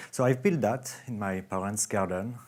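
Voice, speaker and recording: On a very clean recording with a silent background, a man with a French accent speaks at a fairly low pitch with fairly even intonation. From France. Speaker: software company founder. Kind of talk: conference talk. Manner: halting.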